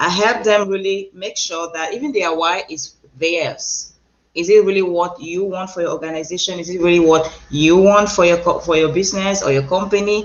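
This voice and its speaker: Speaking in a Cameroonian accent, a woman keeps a medium pitch, a moderate pace and fairly even intonation. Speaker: transformational coach and speaker. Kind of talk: interview.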